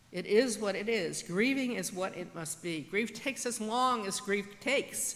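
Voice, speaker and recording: Speaking at a fairly slow pace, a woman with an American accent uses a plain, everyday voice at medium pitch with ordinary pitch variation. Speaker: church pastor. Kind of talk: church sermon.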